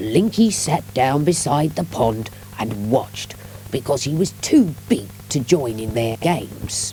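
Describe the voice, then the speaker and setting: Noticeable background noise runs under the recording. A woman talks at a fairly slow pace. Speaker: audiobook narrator. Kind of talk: children's audiobook reading.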